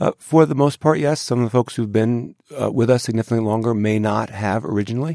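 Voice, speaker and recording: A man speaks at a very fast pace in a medium pitch with a dark, mellow tone and ordinary pitch variation. The recording is very clean, with a silent background. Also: dry, close sound with no echo. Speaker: school district superintendent. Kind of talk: radio interview.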